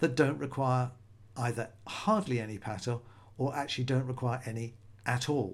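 This man has a British accent, a medium pitch, ordinary pitch variation and a moderate pace. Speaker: magician and podcaster. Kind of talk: solo podcast monologue.

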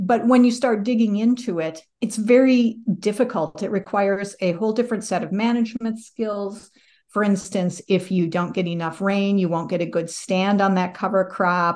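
A woman with an American accent and a plain, everyday voice, medium pitch, ordinary pitch variation, a moderate pace and a quiet background. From US Midwest, northwest Iowa. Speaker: sustainability manager. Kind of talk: interview.

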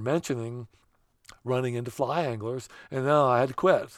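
Against a silent background on a very clean recording, a man with a central Pennsylvania accent speaks at medium pitch with fairly even intonation. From central Pennsylvania, Bedford County. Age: 60s. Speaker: trout angler. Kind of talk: casual interview.

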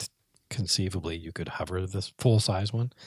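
In a very clean recording with a silent background and a dry, close sound with no echo, a man speaks at a moderate pace, somewhat breathy, with ordinary pitch variation. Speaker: podcast co-host, rc airplane hobbyist. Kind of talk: casual chat. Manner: soft-spoken at times.

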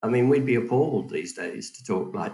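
A man talks with an English accent. His pace is fairly quick. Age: 60s. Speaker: financial advisor. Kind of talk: casual chat.

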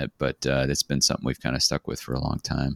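The man's voice has vocal fry and a dry, close sound with no echo. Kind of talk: casual chat.

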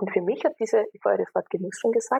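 A woman speaks at a fairly quick pace. The sound is dry and close, with no echo. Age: 30s. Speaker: engineer and systemic consultant. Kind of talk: interview conversation.

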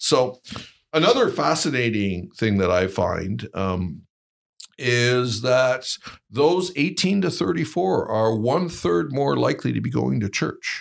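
A man in a Canadian accent speaks fairly slowly, his pitch swinging very widely, with vocal fry. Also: medium pitch for a man. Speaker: think tank executive. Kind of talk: interview.

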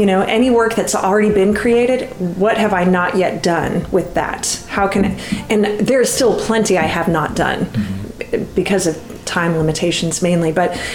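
A woman's medium-pitched voice with ordinary pitch variation, very even loudness and hardly any pauses, over noticeable background noise. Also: moderate pace. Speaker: independent musician. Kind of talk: interview. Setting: dining room table, echoey front room.

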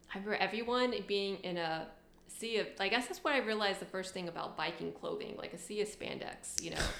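A woman talking at a very fast pace with ordinary pitch variation, over noticeable background noise. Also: medium pitch for a woman. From Tennessee, Knoxville. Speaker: bike commuter, former English teacher in Japan. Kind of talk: casual interview chat.

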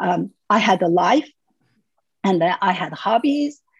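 In a Xinjiang accent, a woman speaks at a medium pitch. Her voice is somewhat breathy. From Urumqi, East Turkestan. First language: Uyghur. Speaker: human rights activist. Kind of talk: interview. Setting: video call.

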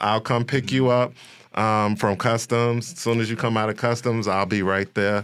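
Heard on a very clean recording with a silent background, a man with an American accent uses a plain, everyday voice at medium pitch, with fairly even intonation, very even loudness, and a moderate pace. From Chicago, West Side. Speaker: comedian and actor. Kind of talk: casual interview.

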